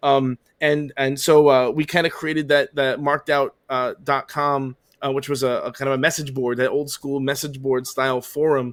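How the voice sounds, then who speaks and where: With a Long Island accent, a man talks at a moderate pace in a fairly high voice with monotone, flat intonation, the sound dry and close with no echo. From Long Island, New York. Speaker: podcast host, autograph collector. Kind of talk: casual chat. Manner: many fillers and hesitations.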